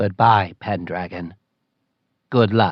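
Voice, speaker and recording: Pitching his voice fairly low, a man performs a put-on character voice. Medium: read story. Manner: stiff, formal, plain-spoken.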